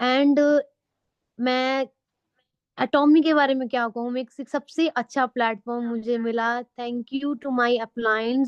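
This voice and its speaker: In a high pitch, a woman speaks with monotone, flat intonation, the sound dry and close with no echo. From Himachal Pradesh, India. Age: 20s. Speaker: veterinary pharmacist and product presenter. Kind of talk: product presentation.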